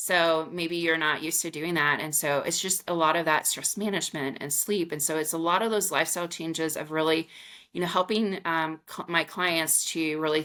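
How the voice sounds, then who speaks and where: Speaking with an American accent, a woman keeps a moderate pace with hardly any pauses, a fairly low pitch, fairly even intonation and a bright, sharp tone. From US Midwest, rural Missouri. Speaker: menopause coach. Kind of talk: podcast interview. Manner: casual, many filler words.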